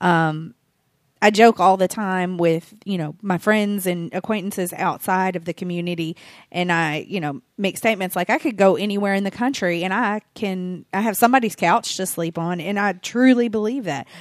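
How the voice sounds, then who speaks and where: A woman with an American accent in an unremarkable speaking voice, medium in pitch with ordinary variation, at a moderate pace in a very clean recording with a silent background. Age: 40s. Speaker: fan club organizer. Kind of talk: casual chat.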